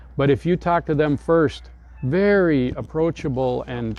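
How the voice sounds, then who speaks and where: A man with an American accent speaks at a fairly slow pace. Music plays in the background. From Minnesota, US. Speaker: expat retiree. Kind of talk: interview. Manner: animated.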